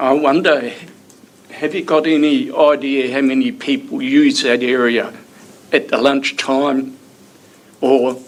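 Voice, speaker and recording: Speaking at a very slow pace with a New Zealand accent, a man is heard with audible room echo and noticeable background noise. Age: 70s. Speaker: member of the public making a submission. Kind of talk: public submission at council hearing.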